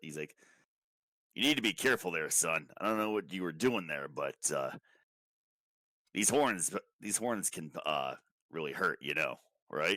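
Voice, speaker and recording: Using a put-on character voice, a man speaks raspily at a very deep, low pitch. His pace is moderate, broken by long, frequent pauses. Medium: actual play. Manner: hesitant, stammering.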